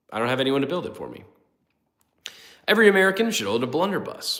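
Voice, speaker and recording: Heard with audible room echo, a man talks in a bright, sharp tone with lively intonation. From US Midwest. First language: not English. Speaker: gun channel livestream host. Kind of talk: casual livestream chat, reading chat. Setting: late-night livestream. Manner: casual, filler-heavy.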